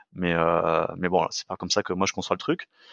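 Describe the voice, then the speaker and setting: At a moderate pace, a man is speaking. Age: 40s. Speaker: fitness coach and sports nutrition entrepreneur. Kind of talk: casual interview conversation. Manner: hesitant, many fillers and restarts.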